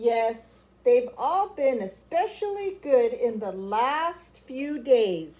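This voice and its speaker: Using a put-on character voice, a woman with a high pitch speaks at a very slow pace with very wide pitch swings. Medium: read story. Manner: hesitant, fussy.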